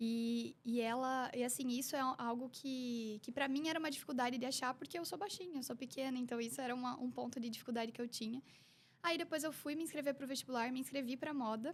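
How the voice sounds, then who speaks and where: With a slight Curitiba accent, a woman speaks at a fairly quick pace in a high voice with fairly even intonation. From Curitiba, southern Brazil. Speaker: image consultant. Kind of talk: casual interview.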